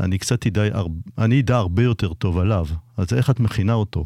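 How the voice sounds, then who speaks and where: A dark, mellow tone with ordinary pitch variation on a very clean recording against a silent background. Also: man. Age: 60s. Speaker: anesthesiologist, co-host. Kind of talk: radio talk show.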